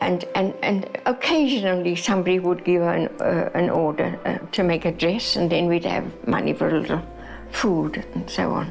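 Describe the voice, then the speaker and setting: A woman speaks at a very even loudness while music plays in the background. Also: moderate pace. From South Africa, Cape Town. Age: 80s+. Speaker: retired teacher and activist. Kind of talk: documentary interview. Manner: halting.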